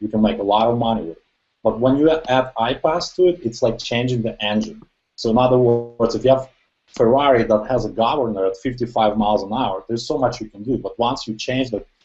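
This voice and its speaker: Very fast speech with ordinary pitch variation and a non-native accent. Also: man, medium pitch for a man. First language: not English. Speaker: online marketer. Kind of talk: testimony.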